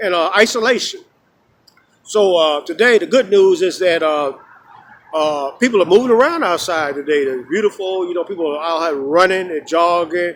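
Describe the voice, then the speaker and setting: This man's voice is high-pitched, with ordinary pitch variation. He keeps a moderate pace. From Chicago. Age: 60s. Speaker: street philosopher vlogger. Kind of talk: casual outdoor monologue. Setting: outdoors. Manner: rambling with many fillers.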